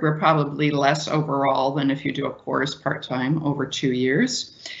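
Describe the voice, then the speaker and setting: A woman speaks in a very deep, low pitch. Her intonation is fairly even and her pace fairly slow. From Ireland. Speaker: university staff presenter; presenter. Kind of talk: online presentation. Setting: virtual talk. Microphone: video call.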